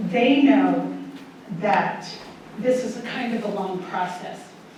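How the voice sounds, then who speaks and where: A woman's fairly high, lively voice at a very slow pace, with audible room echo and noticeable background noise. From Kansas, Wichita area. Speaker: author. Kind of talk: author talk. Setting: library event with audience, microphone. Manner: loud; warm, chatty.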